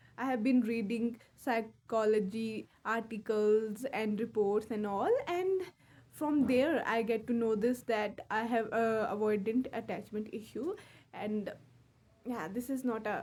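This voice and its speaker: A woman's fairly high voice, fairly slow in pace, with ordinary pitch variation. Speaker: English learner vlogger. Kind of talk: casual monologue. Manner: halting.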